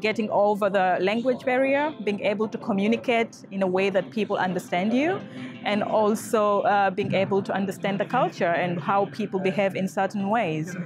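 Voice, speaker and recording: With clear music in the background, a woman talks at a moderate pace with ordinary pitch variation in a dry sound with no echo. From Tanzania. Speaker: project manager. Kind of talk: interview answer. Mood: calm, thoughtful. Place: hall.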